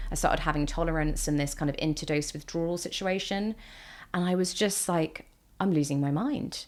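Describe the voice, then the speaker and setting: A woman with a British accent and a fairly low pitch speaks at a moderate pace with ordinary pitch variation. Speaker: mental health vlogger. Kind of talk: personal testimony. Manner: casual with fillers and restarts.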